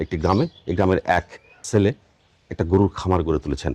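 The sound is dry and close, with no echo. A man is speaking. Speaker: youth development show host. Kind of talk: interview on a dairy farm; scripted presenter intro. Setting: on location in a village farm.

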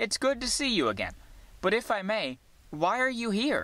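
The voice is a put-on character voice from a man. It sits high in pitch. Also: moderate pace. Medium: read story.

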